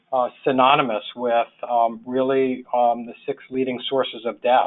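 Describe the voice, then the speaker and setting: A man at a medium pitch and a moderate pace. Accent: New York. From New York. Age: 60s. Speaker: social worker, public health official. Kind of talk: webinar presentation. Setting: webinar. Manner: halting, many fillers.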